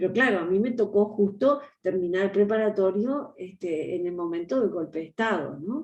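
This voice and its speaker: A woman with a Uruguayan accent, medium pitch, lively intonation, a moderate pace and hardly any pauses. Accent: Rioplatense Spanish (Uruguayan). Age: 60s. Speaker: historian and education official. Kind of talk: interview.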